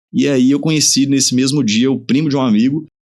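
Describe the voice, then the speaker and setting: A man with a plain, everyday voice keeps a moderate pace, his intonation lively. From interior of Pará, Brazil (until 15), then Minas Gerais. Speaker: dentist and clinic owner. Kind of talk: podcast interview.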